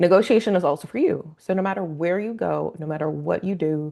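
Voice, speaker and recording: The background is quiet. The speech moves at a fairly quick pace. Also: woman. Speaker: realtor. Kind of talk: webinar presentation. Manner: fast.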